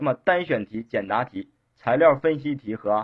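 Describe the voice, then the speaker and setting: A man with a fairly high pitch talks at a fairly slow pace in an ordinary speaking voice, his intonation lively. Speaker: teacher giving exam-prep lecture. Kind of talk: online lecture. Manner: repetitive rhetorical questions, filler-heavy. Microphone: too quiet for some listeners.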